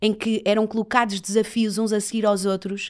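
The recording is very clean with a silent background, and the woman's voice sits at a medium pitch. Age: 30s. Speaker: reporter and TV presenter, agency owner. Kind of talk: interview conversation.

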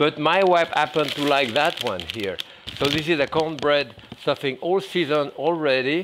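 With noticeable background noise, a man speaks using ordinary pitch variation. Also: moderate pace. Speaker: chef. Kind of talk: cooking demonstration. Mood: calm, warm, relaxed. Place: kitchen. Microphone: lapel.

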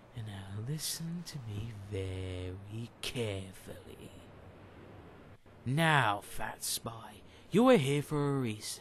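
With clear background noise, a man at medium pitch speaks at a very slow pace, pausing long and often, his intonation lively and his loudness swinging widely. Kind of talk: comic villain monologue. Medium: machinima. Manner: gloating, menacing, theatrical.

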